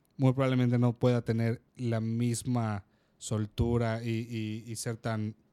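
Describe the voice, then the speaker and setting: Very slow, monotone, flat speech, dry and close with no echo. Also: man, medium pitch for a man. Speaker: podcast co-host. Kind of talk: casual chat. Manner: loud.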